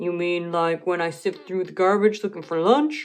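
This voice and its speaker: A put-on character voice that sounds female moves at a moderate pace. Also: medium pitch for a woman. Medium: read story. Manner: wheedling, food-obsessed.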